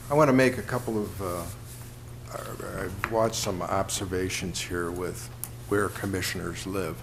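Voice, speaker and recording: A man with an American accent speaks at a moderate pace, fairly low in pitch, with very wide pitch swings. Audible room echo and noticeable background noise fill the recording. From Mount Clemens, Michigan, US. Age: 60s. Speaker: city commissioner. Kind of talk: public meeting remarks. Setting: city commission meeting.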